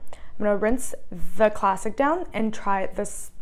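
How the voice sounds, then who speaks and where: Ordinary pitch variation from a woman speaker. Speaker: food reviewer. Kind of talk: casual vlog chat. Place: kitchen.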